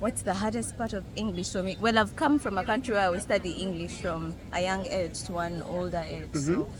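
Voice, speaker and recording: A woman speaks with a Ugandan accent and some vocal fry, at a moderate pace. Her intonation is lively, with hardly any pauses. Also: medium pitch for a woman. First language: Luganda. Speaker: street interviewee. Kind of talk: street interview.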